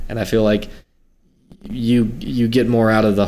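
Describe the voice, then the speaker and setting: A man with an American accent speaks at medium pitch and a moderate pace. It is an unremarkable speaking voice. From South Carolina. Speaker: podcast host, film reviewer. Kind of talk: casual chat.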